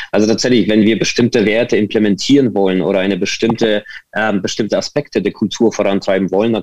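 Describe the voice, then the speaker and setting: A man talks very fast at a fairly low pitch, his loudness very even and his intonation fairly even. The sound is dry and close, with no echo. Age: 40s. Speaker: digital agency consultant. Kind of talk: interview. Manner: hesitant, many fillers.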